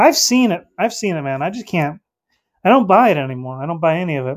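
A man speaks in a high pitch with an American accent. His pace is fairly quick. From North Carolina. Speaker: livestream host. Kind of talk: casual chat. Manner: animated.

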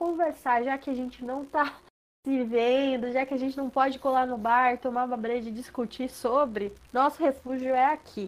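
A woman speaks at a moderate pace in a high pitch. Her intonation stays fairly even. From Brazil, Sorocaba (São Paulo state). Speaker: podcast co-host. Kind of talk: casual chat.

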